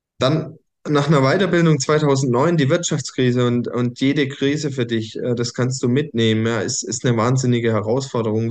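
Here a man speaks at a moderate pace. His pitch sits in the medium range. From Germany, small village. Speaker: coach and podcast host. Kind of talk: personal story monologue. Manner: hesitant, many fillers.

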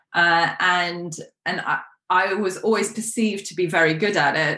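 In a British accent, a woman talks at a fairly slow pace with a fairly low pitch, a bright, sharp tone and fairly even intonation. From UK. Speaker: life coach. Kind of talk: interview.

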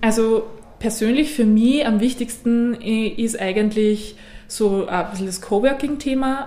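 Recorded with audible room echo and noticeable background noise, a woman talks at medium pitch and a fairly slow pace. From Austria, Innviertel (Upper Austria). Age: 20s. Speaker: member of a multilocal network. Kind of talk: interview.

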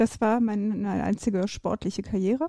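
A woman's fairly high voice with a dark, mellow tone, ordinary pitch variation and a moderate pace. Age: 50s. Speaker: ultra and trail runner, business manager. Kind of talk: casual interview. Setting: podcast recording.

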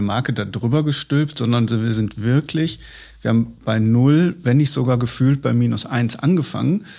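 An unremarkable speaking voice with ordinary pitch variation on a very clean recording with a silent background. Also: man. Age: 30s. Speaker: head of corporate communications and marketing. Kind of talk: casual interview conversation. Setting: studio, at a table. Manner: frequent fillers.

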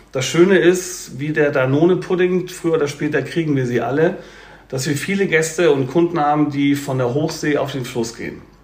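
A man's fairly high voice at a moderate pace, with ordinary pitch variation, audible room echo and noticeable background noise. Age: 50s. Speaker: cruise company sales representative. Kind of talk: podcast interview.

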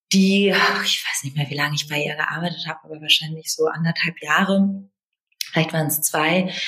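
A woman speaks at a very deep, low pitch. Her pace is fairly quick and her intonation fairly even. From Berlin, Germany. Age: 30s. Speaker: business development director. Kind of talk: interview. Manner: hesitant, many fillers.

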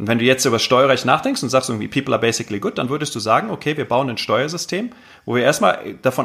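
The man's pitch is medium and varies ordinarily. He speaks very fast. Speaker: entrepreneurship lecturer and tech entrepreneur. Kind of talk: casual interview. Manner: hesitant, many fillers.

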